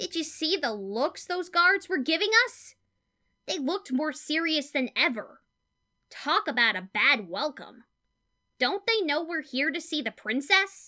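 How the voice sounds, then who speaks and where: A loud, high-pitched, female-sounding put-on character voice. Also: moderate pace. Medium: audio drama. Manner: brash, loud.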